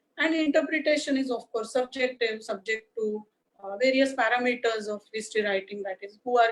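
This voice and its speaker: A woman with an Indian accent speaks at a moderate pace and fairly high pitch with fairly even intonation. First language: Marathi. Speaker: history lecturer. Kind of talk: lecture. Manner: hesitant, many uh fillers.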